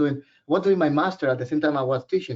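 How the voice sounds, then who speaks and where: A man speaks with a Puerto Rican accent. His intonation is lively. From Puerto Rico, San Juan. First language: Spanish. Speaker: professor. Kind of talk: webinar presentation. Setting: online webinar. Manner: casual, conversational.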